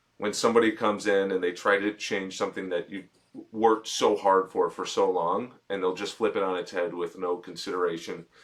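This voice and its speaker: Speaking at a fairly quick pace, a man with an American accent uses monotone, flat intonation. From Chicago. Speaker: boxing podcast host. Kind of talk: interview.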